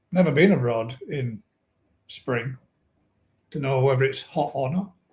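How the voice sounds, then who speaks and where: Somewhat breathy, a man with a northern English accent talks at a fairly slow pace with ordinary pitch variation. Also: medium pitch for a man. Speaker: koi pond live stream host. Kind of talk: live stream chat. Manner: casual chatty.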